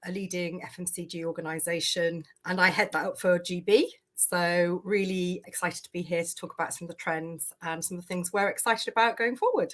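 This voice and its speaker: A woman speaks with a British accent at a fairly low pitch and a fairly quick pace, her intonation fairly even. Her loudness swings widely, over a quiet background. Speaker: talent acquisition leader. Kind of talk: panel discussion.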